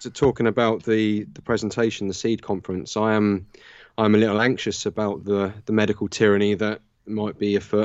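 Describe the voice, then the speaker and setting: At a fairly quick pace, the speaker talks in a southern English accent with monotone, flat intonation. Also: man, fairly low pitch for a man. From Southern England, Southampton. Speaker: natural law researcher and teacher. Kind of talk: casual interview. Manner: halting, many fillers.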